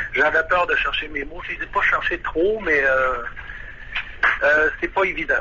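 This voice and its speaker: Over noticeable background noise, a man speaks at a fairly slow pace with long, frequent pauses. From Quebec. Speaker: saxophonist, expat interviewee. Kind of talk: radio phone interview. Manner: halting, many hesitations.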